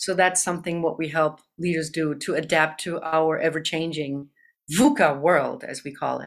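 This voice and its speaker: Very deep and low in pitch, a woman talks at a moderate pace with fairly even intonation and big swings in loudness, captured in a very clean recording with a silent background. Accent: German. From Germany. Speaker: business consultant and CEO. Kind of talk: interview about business.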